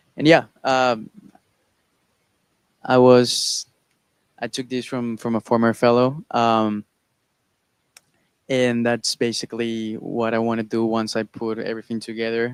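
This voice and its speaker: Monotone, flat intonation from a man at a medium pitch, fairly slow, with long, frequent pauses and a dry, close sound with no echo. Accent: Spanish. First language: Spanish. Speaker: research fellow presenting project. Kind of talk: conference presentation. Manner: halting.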